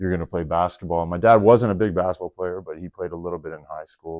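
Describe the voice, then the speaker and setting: A man with a Canadian accent speaks in a very deep, low, dark, mellow voice with fairly even intonation, the sound dry and close with no echo. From Canada, Toronto. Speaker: retired basketball player. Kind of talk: podcast interview. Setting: arena.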